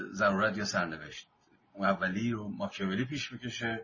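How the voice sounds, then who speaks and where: The man's fairly low voice moves at a moderate pace and varies in pitch in an ordinary way. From Iran, Mazandaran. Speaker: book discussion leader. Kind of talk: lecture.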